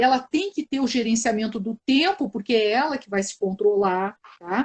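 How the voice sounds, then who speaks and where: At a moderate pace, a woman talks in a fairly high, somewhat breathy voice with ordinary pitch variation. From southern Brazil, Porto Alegre. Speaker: psychologist, live stream host. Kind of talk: live stream conversation. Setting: online live video stream.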